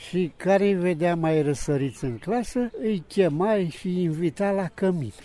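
The man's pitch is high. His tone is dark and mellow. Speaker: retired chess amateur. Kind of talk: interview. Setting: outdoors.

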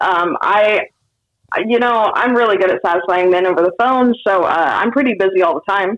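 At a moderate pace, a woman speaks with lively intonation at a medium pitch. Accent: American. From Sacramento, California. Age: 30s. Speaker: comedian. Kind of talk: casual chat.

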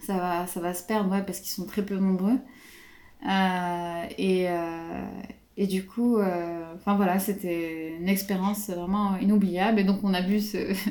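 A woman with a dark, mellow tone and medium pitch speaks in a flat monotone at a fairly slow pace, with long, frequent pauses and audible room echo. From Morocco. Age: 20s. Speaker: aerospace engineer. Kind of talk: interview. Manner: halting.

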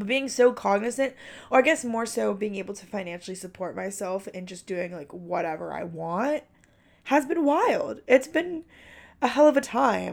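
A woman speaks in an animated tone with vocal fry. Her pitch swings very widely at a moderate pace. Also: fairly high pitch for a woman, big swings in loudness. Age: 20s. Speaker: college student podcaster. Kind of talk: casual solo chat. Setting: at home under a blanket.

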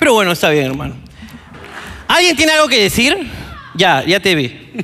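A man's animated, raised and projected voice, high in pitch with very wide swings, broken by long, frequent pauses, with audible room echo and noticeable background noise. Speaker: comedy podcast host. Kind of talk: live comedy show with audience. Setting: stage with audience.

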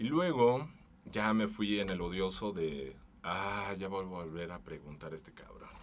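A man speaks at a fairly slow pace and fairly low pitch, with lively intonation. His loudness swings widely, and room echo is audible. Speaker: voice-over artist. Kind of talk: casual chat.

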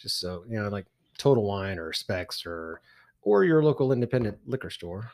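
This man talks at a moderate pace with a slight Texan accent, his fairly low voice carrying lively intonation and big swings in loudness on a very clean recording with a silent background. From Texas.

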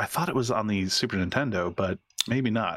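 A man talks in a normal speaking voice at a moderate pace. The sound is dry and close, with no echo. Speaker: video game podcast co-host. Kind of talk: casual chat.

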